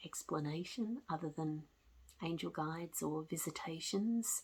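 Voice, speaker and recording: At a moderate pace, a woman with a fairly low pitch speaks in a calm tone, somewhat breathy, with lively intonation. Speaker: spiritual storyteller. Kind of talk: personal testimony. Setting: at home with cat. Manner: calm, reflective.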